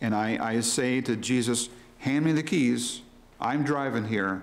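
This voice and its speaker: At a moderate pace, a man talks with fairly even intonation. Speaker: preacher. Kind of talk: sermon. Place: church. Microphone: podium.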